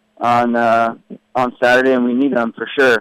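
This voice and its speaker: The speaker is a man with a medium pitch. He talks with an American accent. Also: dry, close sound with no echo. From California. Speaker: professional soccer player. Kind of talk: radio interview.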